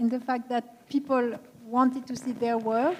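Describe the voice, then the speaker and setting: A woman's high-pitched voice moves at a fairly slow pace. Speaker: art historian speaker. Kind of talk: panel discussion Q&A. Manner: halting.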